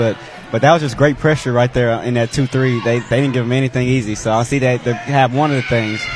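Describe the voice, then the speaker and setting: Noticeable background noise sits under a man's medium-pitched voice. He talks at a fairly quick pace with monotone, flat intonation. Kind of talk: color commentary alongside the play-by-play, with brief reactions.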